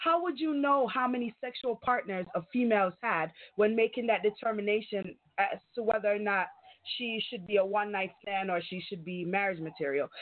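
A woman talks at a moderate pace with a fairly high pitch and lively intonation. She has a plain, everyday voice. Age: 30s. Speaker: IT specialist and self-described sex expert. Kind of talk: call-in radio discussion. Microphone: connection breaking up.

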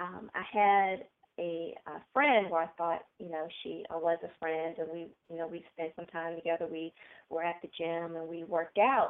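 A woman talks at a moderate pace in a normal speaking voice, pitched fairly low. Her intonation stays fairly even while her volume rises and falls sharply. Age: 40s. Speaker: author and speaker. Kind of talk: interview.

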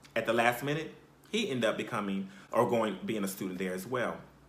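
Noticeable background noise sits behind a man with an American accent. He talks at a fairly quick pace with an animated tone and lively intonation. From South Carolina. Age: 30s. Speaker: podcast host. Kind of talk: personal storytelling.

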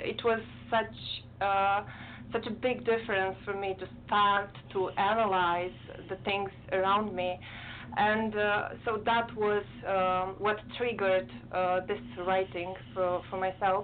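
With a Romanian accent, a woman speaks at a very slow pace with long, frequent pauses, a medium pitch and ordinary pitch variation. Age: 30s. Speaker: poet. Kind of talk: casual chat. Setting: video call.

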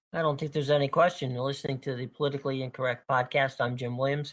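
With an American accent and a normal speaking voice, a man talks at a fairly high pitch with ordinary pitch variation. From Pittsburgh, Pennsylvania. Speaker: political podcast host, news bureau chief. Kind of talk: casual political panel discussion.

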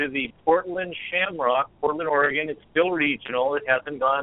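With a plain, everyday voice, a man speaks at a moderate pace, his pitch fairly high and his intonation fairly even. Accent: American. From California. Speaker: fitness coach, Air Force veteran. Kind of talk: phone interview. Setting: phone call.

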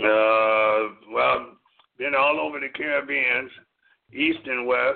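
The speaker, with an American accent, talks at a very slow pace with long, frequent pauses. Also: man. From US Midwest, Wisconsin. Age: 50s. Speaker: jazz drummer. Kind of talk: casual chat. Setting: phone call.

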